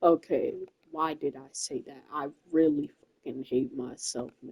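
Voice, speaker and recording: A soft-spoken woman talks at a fairly slow pace in a very deep, low pitch, her intonation fairly even. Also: big swings in loudness. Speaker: gamer. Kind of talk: gameplay commentary.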